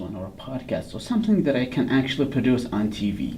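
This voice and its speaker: A fairly quick pace amid audible room echo and noticeable background noise. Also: man. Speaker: podcast host. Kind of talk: casual chat.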